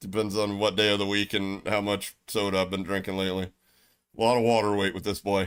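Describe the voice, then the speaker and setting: In a very clean recording with a silent background, a man with an American accent talks at a fairly quick pace and a fairly low pitch. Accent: Southern US accent, noticed by others. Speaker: gaming livestreamer. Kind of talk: casual chat. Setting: livestream. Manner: animated.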